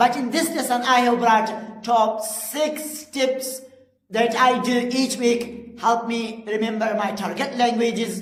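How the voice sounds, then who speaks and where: Over noticeable background noise and audible room echo, a woman with a Pashto accent speaks at a fairly slow pace and a high pitch. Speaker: English teacher. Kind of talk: tutorial. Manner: halting, with frequent fillers.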